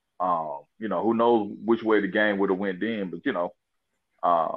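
A man with a Southern US accent, fairly low pitch and a moderate pace. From Mississippi, US. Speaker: sports podcast panelist. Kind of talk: casual sports talk. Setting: phone call.

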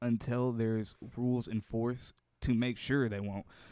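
At a moderate pace, a man speaks with a dark, mellow tone and a medium pitch. The recording is very clean, with a silent background and a dry, close sound with no echo. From US Midwest (Gary, Indiana). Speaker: nursing assistant and small business owner. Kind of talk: casual chat.

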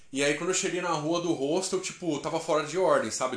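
A man speaks in an animated tone. There is audible echo from the room. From interior of São Paulo state, Brazil. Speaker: travel podcaster. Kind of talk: casual storytelling monologue. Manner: animated, slangy.

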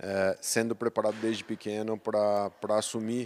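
Monotone, flat intonation in a dry, close sound with no echo, on a very clean recording with a silent background. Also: man. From Brazil, south of Minas Gerais. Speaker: agribusiness sales director. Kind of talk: interview. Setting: company headquarters.

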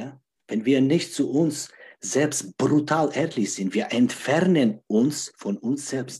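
Somewhat breathy and dark, mellow in tone, a man with a fairly high pitch speaks at a very slow pace with lively intonation. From Czech Republic. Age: 40s. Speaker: life coach. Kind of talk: interview. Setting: livestream.

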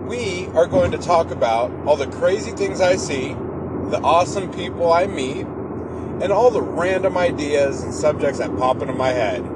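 Amid noticeable background noise, a man with an American accent speaks in an upbeat tone at a moderate pace and high pitch, his intonation lively and hardly any pauses in between. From Seattle, Washington. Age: 30s. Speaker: podcaster, pest control technician and rideshare driver. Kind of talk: casual monologue.

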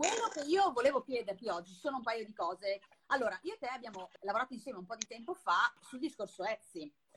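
A woman's fairly high voice at a very fast pace, with very wide pitch swings and a dry, close sound with no echo. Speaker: podcast host and Etsy consultant. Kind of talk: casual chat. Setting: recorded Instagram live. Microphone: poorly placed microphone, mediocre audio.

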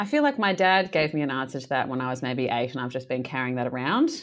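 A woman with a very deep, low pitch speaks at a fairly quick pace with lively intonation. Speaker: podcast host and primary school teacher. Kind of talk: interview questions.

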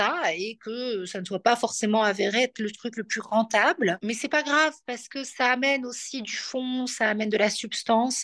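A woman with a bright, sharp tone and fairly high pitch speaks at a moderate pace, recorded with a dry, close sound with no echo against a quiet background. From Belgium. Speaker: astrologer and entrepreneur. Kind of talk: interview. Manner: soft and gentle; hesitant, many fillers.

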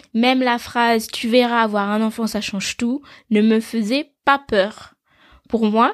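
The speech moves at a very slow pace. The sound is dry and close with no echo, on a very clean recording with a silent background. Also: woman. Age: 20s. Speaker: podcast host, mother. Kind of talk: solo podcast monologue. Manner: warm, conversational.

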